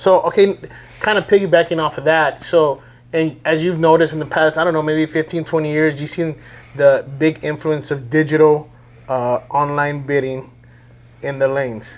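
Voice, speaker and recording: A normal speaking voice from a man, fairly high in pitch, at a moderate pace with fairly even intonation. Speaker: podcast host, car auction staff. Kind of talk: podcast host interviewing.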